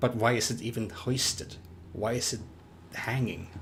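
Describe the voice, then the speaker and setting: A man with a non-native accent speaks fairly slowly in a somewhat breathy voice with monotone, flat intonation. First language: not English. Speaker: livestreaming gamer. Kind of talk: live gameplay commentary. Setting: livestream. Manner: halting, with false starts.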